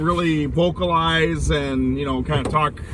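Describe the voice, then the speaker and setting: Noticeable background noise runs through the clip. A man is talking. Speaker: sports vlogger. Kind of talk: casual commentary monologue. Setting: in a car. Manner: loud.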